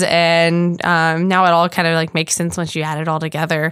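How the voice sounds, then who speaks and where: A woman with an American accent talks at a moderate pace and fairly low pitch in an unremarkable speaking voice, in a very clean recording with a silent background. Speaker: podcast co-host. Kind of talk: casual chat.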